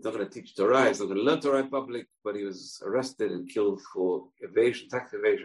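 A man at a fast pace, fairly low in pitch, with a slightly husky edge and ordinary pitch variation.

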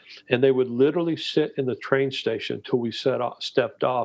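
A man with a Texan accent at a fairly quick pace. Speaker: missionary and disciple-making trainer. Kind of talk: interview, storytelling.

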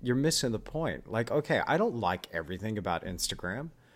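This recording is very clean, the background silent. The talking moves at a fairly quick pace. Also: man. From Australia (Perth), born in Texas. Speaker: podcast host and artist. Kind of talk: casual interview chat; scripted outro.

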